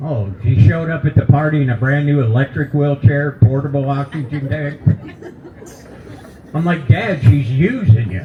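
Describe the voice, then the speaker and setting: Against noticeable background noise, a man with a fairly high voice speaks at a moderate pace with ordinary pitch variation. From Kentucky. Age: 70s. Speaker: comedian. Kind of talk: stand-up. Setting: stage with audience at a brewery.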